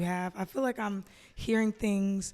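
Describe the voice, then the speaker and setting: A woman speaks in an American accent at a moderate pace. Hers is a plain, everyday voice at a medium pitch. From US South, Atlanta. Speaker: podcast co-host. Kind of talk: interview conversation.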